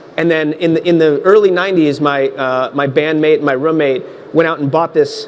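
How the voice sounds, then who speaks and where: Talking at a fairly quick pace, a man with a fairly high pitch comes through noticeable background noise. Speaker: tech consultant, panelist. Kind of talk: panel discussion.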